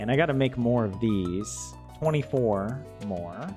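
With clear music in the background, a man with an American accent drawls at a fairly low pitch in a relaxed tone with lively intonation. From southern US. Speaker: game streamer. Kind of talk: casual gameplay commentary. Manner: relaxed drawl. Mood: cheerful, amazed. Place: home room. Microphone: studio mic.

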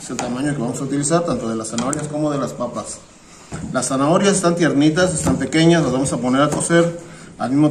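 Very fast speech from a man, over noticeable background noise. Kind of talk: tutorial. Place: kitchen.

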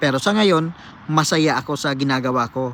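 Here a man with a plain, everyday voice and fairly high pitch speaks at a moderate pace with ordinary pitch variation. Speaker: cook and former seafarer vlogger. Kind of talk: vlog monologue answering a viewer comment. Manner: casual, conversational.

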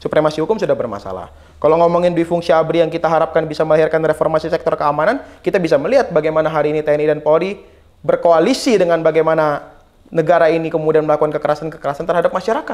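A man's fairly high voice at a very fast pace, fairly even in intonation, against a quiet background. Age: 20s. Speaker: former student union leader; guest. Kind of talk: talk show interview. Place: studio. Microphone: lapel.

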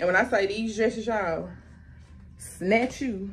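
At a fairly slow pace, a woman speaks in a somewhat breathy voice of medium pitch. Light noise sits in the background. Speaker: youtuber. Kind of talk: haul video. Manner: animated. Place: home room. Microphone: camera far.

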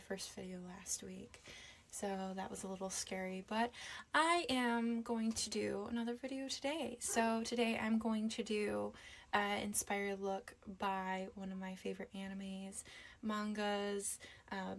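At a fairly slow pace, a woman speaks with fairly even intonation. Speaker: beauty vlogger. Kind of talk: casual vlog chat and makeup tutorial. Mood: nervous, hesitant, many fillers. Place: home room. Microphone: phone near.

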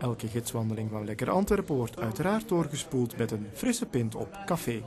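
A man at medium pitch, fairly quick and with lively intonation, over noticeable background noise. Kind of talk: TV news report narration.

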